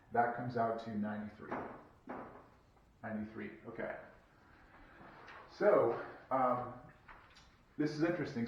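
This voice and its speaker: A man's voice with audible room echo. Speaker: math professor. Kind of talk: lecture. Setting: recorded video lecture.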